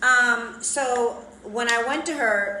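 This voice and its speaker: A woman speaks loudly at a high pitch. Audible room echo surrounds her voice. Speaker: plastic surgery vlogger. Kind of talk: casual chat. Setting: Instagram live stream.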